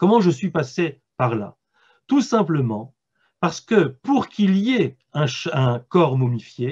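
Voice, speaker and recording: A man with a fairly high pitch, very wide pitch swings, big swings in loudness and a very slow pace. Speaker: philosopher and author giving a talk. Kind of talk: lecture. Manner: halting, with repetitions.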